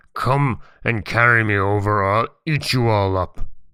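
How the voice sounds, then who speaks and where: On a very clean recording with a silent background, a man uses a put-on character voice at a medium pitch and a moderate pace. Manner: roaring, menacing.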